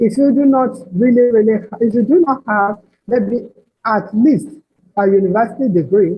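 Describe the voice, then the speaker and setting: At a moderate pace, this somewhat breathy voice shows ordinary pitch variation. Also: woman, fairly high pitch for a woman. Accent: Nigerian. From Nigeria. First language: Nigerian language other than English. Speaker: proofreader and editor. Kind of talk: webinar presentation. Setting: online webinar.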